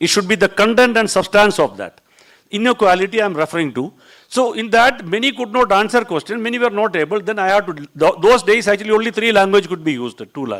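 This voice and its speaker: Speaking very fast with a Keralan accent, a man uses a high pitch and ordinary pitch variation. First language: Malayalam. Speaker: border security officer. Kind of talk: panel talk. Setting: seminar hall with audience.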